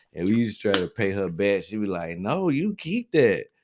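The recording is very clean, with a silent background. The speaker talks with an American accent. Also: man. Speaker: podcast co-host. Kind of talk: casual chat.

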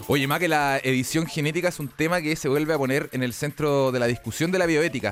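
A man with a Chilean accent, fairly high pitch, ordinary pitch variation, a very fast pace and hardly any pauses. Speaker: radio host. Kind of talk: radio talk show.

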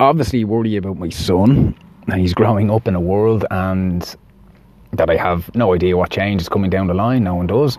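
Over noticeable background noise, a man with an Irish accent speaks with ordinary pitch variation. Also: fairly low pitch for a man, moderate pace. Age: 30s. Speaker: podcast host. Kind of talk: personal monologue.

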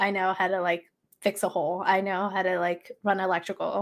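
A woman speaks in a plain, everyday voice with an American accent, at a moderate pace and medium pitch. The recording is very clean, with a silent background. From Los Angeles, US. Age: 30s. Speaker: HVAC technician, social media creator. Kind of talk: casual chat.

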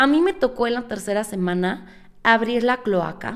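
A woman with a Mexican accent speaks in an animated tone with ordinary pitch variation. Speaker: podcast host. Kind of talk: motivational monologue.

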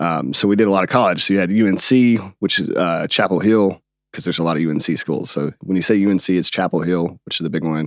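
With an American accent, a man speaks at a very fast pace in a very deep, low pitch with ordinary pitch variation. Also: very clean recording, silent background. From North Carolina, US. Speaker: podcast co-host, streamer. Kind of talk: casual interview.

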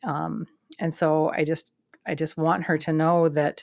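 A woman speaks with a fairly low pitch at a moderate pace. The recording is very clean, with a silent background. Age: 50s. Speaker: health coach and podcast host. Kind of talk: casual solo talk. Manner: hesitant with filler words.

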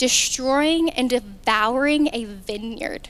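A woman speaks very slowly in a high voice with a Southern US accent and ordinary pitch variation. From Arkansas. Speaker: youth ministry speaker. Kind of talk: sermon. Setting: stage with audience.

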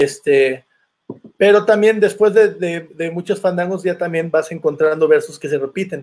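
The man's voice is high, and his pace is moderate. The pitch variation is ordinary. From Veracruz, Mexico (Santiago Tuxtla). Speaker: son jarocho musician. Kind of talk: interview.

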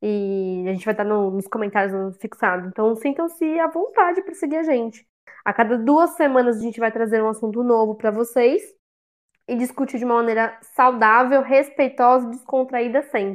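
A woman speaks at a fairly high pitch and a moderate pace, with lively intonation. Hers is an unremarkable speaking voice. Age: 20s. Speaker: fan podcast co-host, public relations professional. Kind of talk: casual chat.

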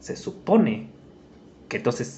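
A man speaks in a somewhat breathy voice. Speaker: podcast host. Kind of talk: casual chat.

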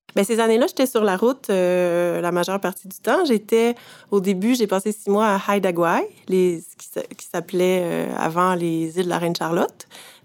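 With a Quebec accent, a woman speaks at a moderate pace with ordinary pitch variation. Her loudness swings widely. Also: medium pitch for a woman. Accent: Québécois French. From Quebec, Eastern Townships. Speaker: photographer. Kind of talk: interview. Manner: halting, frequent hesitations.

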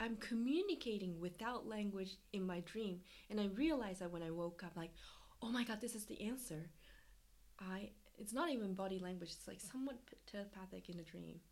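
With a plain, everyday voice, a woman talks at a fairly quick pace and medium pitch, showing ordinary pitch variation. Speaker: dancer and performance artist. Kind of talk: casual interview conversation. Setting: video call.

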